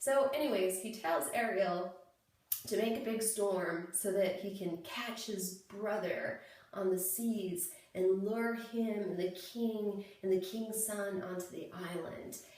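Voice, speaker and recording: At a very slow pace and with fairly even intonation, a woman of medium pitch speaks over noticeable background noise. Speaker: playwright. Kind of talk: casual talk to camera. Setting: bathroom. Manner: rambling, informal.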